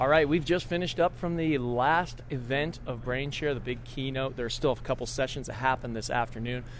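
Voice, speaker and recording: A man with a plain, everyday voice talks at a fairly quick pace with hardly any pauses, medium pitch and ordinary pitch variation. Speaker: podcast host. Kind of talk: casual interview chat. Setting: backstage at conference.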